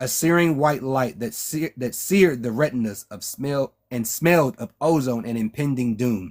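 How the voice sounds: Pitch moves in an ordinary way across a natural reading voice. Behind it, things are quiet.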